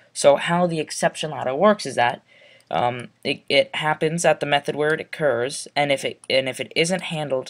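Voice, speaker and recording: A man's raspy, put-on character voice, fairly high in pitch, at a moderate pace. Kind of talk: technical explanation. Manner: stuttering, hesitant.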